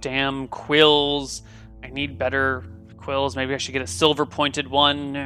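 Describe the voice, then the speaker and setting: A man's mumbling, rumbling put-on character voice in a medium pitch, at a fairly slow pace, with clear music in the background. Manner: grumbling, mumbling.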